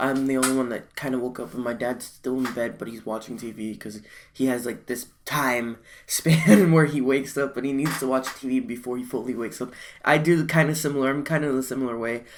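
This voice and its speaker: The recording is very clean, with a silent background. The speaker is quiet and talks at a fairly quick pace. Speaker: anime reaction youtuber. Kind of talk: live reaction video. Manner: halting.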